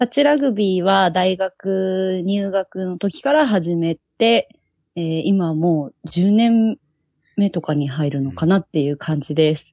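In a normal speaking voice, a woman at medium pitch talks at a fairly slow pace with lively intonation, the sound dry and close with no echo against a quiet background. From Japan, Yokohama (Kanagawa). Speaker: touch rugby national team captain. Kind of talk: casual chat.

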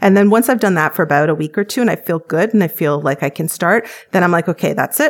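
This woman has an ordinary speaking voice, fairly low in pitch, with a Canadian accent. She talks at a fairly quick pace. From Canada. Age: 40s. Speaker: weight-loss program patient. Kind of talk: interview testimony.

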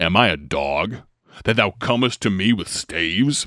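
A man's gravelly, fairly low put-on character voice with a menacing tone, at a moderate pace. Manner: scornful, menacing.

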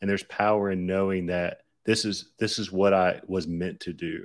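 Speaking at a moderate pace with fairly even intonation, a man with a Southern US accent uses a fairly low pitch in a very clean recording with a silent background. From US South, Lower Alabama. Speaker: ghostwriter and entrepreneur. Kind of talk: casual interview chat.

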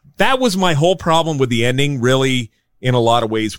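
Speaking with an American accent at a fairly quick pace, a man with a fairly high pitch uses lively intonation in a dry, close sound with no echo. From San Diego, California. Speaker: drummer and podcaster. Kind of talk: casual chat.

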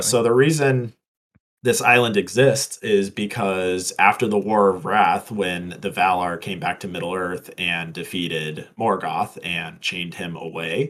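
Here a man talks in a Midwestern accent at a fairly slow pace. His pitch is fairly low, with ordinary variation. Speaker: podcast co-host. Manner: casual, explanatory.

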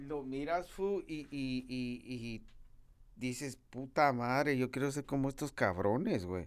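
A man talks very slowly at a medium pitch with ordinary pitch variation, in a very clean recording with a silent background. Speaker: podcast host and rapper. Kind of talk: casual monologue. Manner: animated, slangy.

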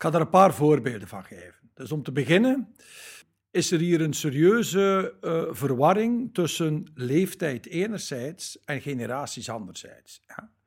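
On a very clean recording with a silent background, a man at fairly high pitch makes very wide pitch swings and big swings in loudness. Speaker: labour market expert, company spokesperson. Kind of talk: interview. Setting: hotel.

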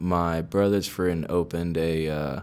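A man with an American accent speaks in a very deep, low voice with monotone, flat intonation. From Texas, Sugar Land near Houston. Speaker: insurance agent. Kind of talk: casual interview.

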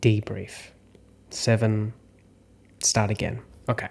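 A man with a medium-pitched, somewhat breathy voice talks at a very slow pace. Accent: Australian. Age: 30s. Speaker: actor and acting coach. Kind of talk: solo podcast monologue.

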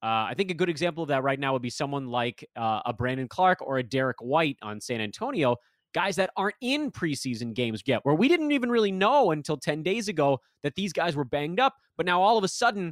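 Pitched fairly high, a man speaks at a very fast pace with very wide pitch swings, in a dry, close sound with no echo and a very clean recording with a silent background. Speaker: fantasy basketball analyst. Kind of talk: casual chat.

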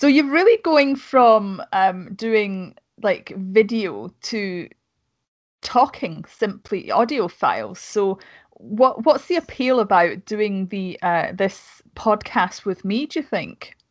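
A woman with a Scottish accent speaks very slowly in a fairly high voice with lively intonation against a quiet background. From Scotland. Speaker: podcast host and YouTuber. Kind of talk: casual chat. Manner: talkative.

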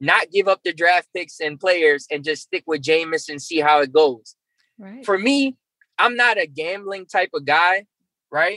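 A man speaks in a raised, projected voice with a bright, sharp tone, at a fairly slow pace. The sound is dry and close, with no echo. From New Orleans. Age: 30s. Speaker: sports podcast host. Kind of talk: casual chat.

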